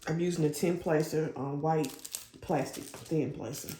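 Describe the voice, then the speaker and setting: Audible room echo and noticeable background noise surround the recording. A woman speaks at a moderate pace. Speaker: diamond painting hobbyist YouTuber. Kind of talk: casual chat while crafting. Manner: loud. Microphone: lapel mic not clipped on, may be quiet.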